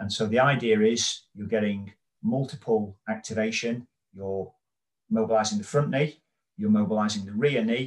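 A man with a British accent speaks at a medium pitch and a moderate pace, with ordinary pitch variation. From United Kingdom. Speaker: physiotherapist and author. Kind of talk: interview.

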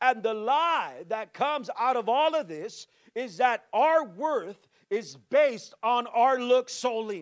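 With an extremely high pitch, a man talks at a fairly slow pace in an animated tone with lively intonation. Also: quiet background. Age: 40s. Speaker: pastor. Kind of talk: sermon.

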